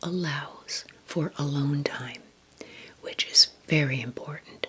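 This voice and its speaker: A soft-spoken woman with a very deep, low pitch and a calm tone, amid noticeable background noise. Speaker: travel vlogger. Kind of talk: casual talk to camera, travel tips. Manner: calm, soft-spoken, conversational.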